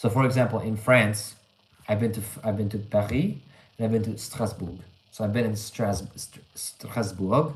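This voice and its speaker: A moderate pace carries this somewhat breathy voice. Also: man. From Canada. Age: 20s. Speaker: English teacher, livestreamer. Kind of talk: live stream chat reading comments. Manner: casual, conversational with fillers.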